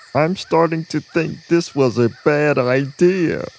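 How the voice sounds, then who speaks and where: A put-on character voice at a low-to-middle pitch moves at a fairly slow pace. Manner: nervous, panicky.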